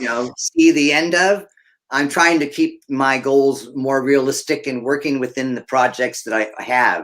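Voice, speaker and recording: A man's unremarkable speaking voice, fairly high in pitch, at a fairly slow pace with fairly even intonation. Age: 60s. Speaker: snake breeder. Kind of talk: casual chat.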